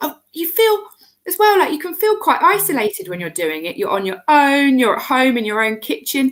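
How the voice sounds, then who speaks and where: Loud and with very wide pitch swings, a woman speaks at a high pitch and moderate pace with a British accent. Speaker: cake maker, member of baking business community. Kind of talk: casual interview chat. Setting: live video stream. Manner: animated.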